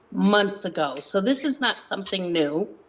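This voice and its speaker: A woman speaks at medium pitch. Her pace is moderate. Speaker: select board member. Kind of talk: public meeting discussion. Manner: loud.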